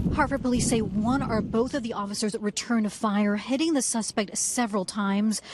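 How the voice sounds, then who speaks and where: This woman has an ordinary speaking voice with fairly high pitch and a moderate pace. Her loudness stays very even and her intonation fairly even. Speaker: TV news reporter. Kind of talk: live TV news report. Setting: outdoors on location.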